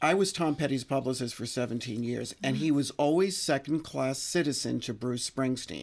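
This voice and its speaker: A man's plain, everyday voice at medium pitch, ordinary pitch variation, hardly any pauses, on a very clean recording with a silent background. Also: moderate pace. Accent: American. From New York, the Bronx. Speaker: music publicist. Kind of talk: casual chat. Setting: at the host's home.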